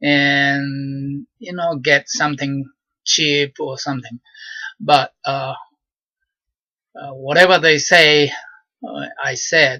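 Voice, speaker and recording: A man with a fairly high pitch and a bright, sharp tone, very slow with long, frequent pauses, big swings in loudness, and a dry, close sound with no echo. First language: Japanese. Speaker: vlogger. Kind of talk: personal monologue. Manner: halting, many fillers.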